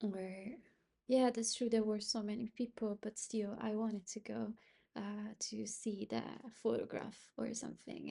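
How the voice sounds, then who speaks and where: Somewhat breathy, a woman speaks in a dark, mellow tone. Her fairly slow delivery is monotone and flat. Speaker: self-help vlogger. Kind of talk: personal reflective monologue. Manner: halting, many fillers; higher pitch with new people, neutral tone when comfortable.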